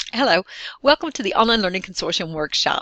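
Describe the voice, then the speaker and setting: A woman at medium pitch with a strong Southern US accent, the sound dry and close with no echo. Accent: strong Southern drawl. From Texas. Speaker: online course facilitator, distance education director. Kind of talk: recorded course welcome video.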